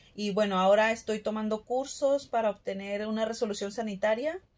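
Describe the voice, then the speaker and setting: A woman talks at a moderate pace with a medium-pitched voice. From Mexico, Monterrey, Nuevo León; Nuevo León, Mexico. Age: 30s. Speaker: health worker and small food business owner. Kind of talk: testimony; personal testimony. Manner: hesitant, frequent fillers. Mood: calm, reflective. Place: home room. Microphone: phone near.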